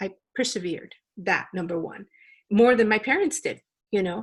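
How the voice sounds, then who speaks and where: At a moderate pace, a somewhat breathy woman of medium pitch speaks in a Spanish accent. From Los Angeles, US. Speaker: company founder and CEO. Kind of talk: interview.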